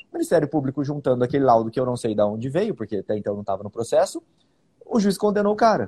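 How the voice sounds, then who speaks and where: A man speaks at a very fast pace with very wide pitch swings and a dark, mellow, somewhat breathy tone. The sound is dry and close, with no echo. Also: medium pitch for a man. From Bauru, interior of São Paulo state, Brazil. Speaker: public defender and podcast host. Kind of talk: casual legal discussion podcast.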